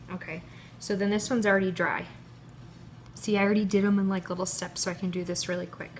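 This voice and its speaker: Soft-spoken, a woman talks at a fairly quick pace, her medium pitch held in fairly even intonation. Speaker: cake pop baker. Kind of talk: tutorial. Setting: live stream video.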